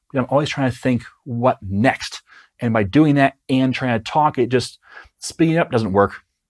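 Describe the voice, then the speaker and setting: In a very clean recording with a silent background, the sound is dry and close with no echo. A man speaks at medium pitch with lively intonation. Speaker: software developer and online educator. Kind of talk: podcast-style advice monologue. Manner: slow.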